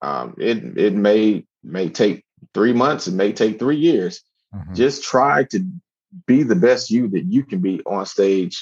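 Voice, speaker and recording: A man uses a plain, everyday voice at medium pitch, talking at a fairly slow pace with lively intonation. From Miami, Florida. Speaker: army veteran and stand-up comedian. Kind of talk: casual interview chat.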